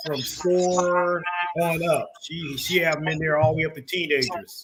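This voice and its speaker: This man has a high pitch and fairly even intonation at a moderate pace. Noticeable background noise is audible. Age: 60s. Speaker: community talk show host. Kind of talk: casual interview chat.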